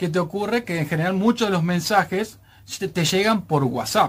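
Talking at a moderate pace, a man uses a high pitch and ordinary pitch variation. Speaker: radio technology advice columnist. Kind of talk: radio talk segment, explaining tech tips. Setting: radio studio. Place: studio. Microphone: studio mic.

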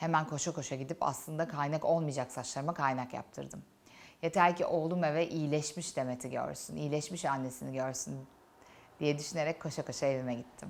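A woman speaks in a very deep, low pitch with vocal fry. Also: fairly quick pace. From Turkey, Antalya. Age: 30s. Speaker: YouTuber, cancer survivor. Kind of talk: personal testimony. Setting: studio set during makeup session. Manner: emotional, reflective.

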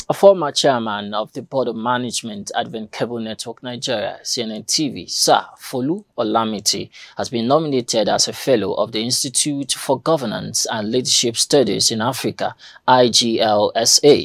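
A man's medium-pitched voice at a moderate pace with hardly any pauses, ordinary pitch variation, and a dry, echo-free sound against a quiet background. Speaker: news presenter. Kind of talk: news reading. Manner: formal, measured newsreader delivery. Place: studio.

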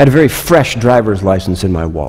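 A man's very fast speech with lively intonation against a quiet background. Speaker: pastor. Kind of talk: sermon. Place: church.

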